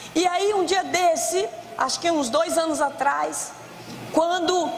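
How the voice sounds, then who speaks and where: Extremely high in pitch, a woman speaks at a very slow pace with ordinary pitch variation. Audible room echo and noticeable background noise are present. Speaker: preacher. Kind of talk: sermon. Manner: loud.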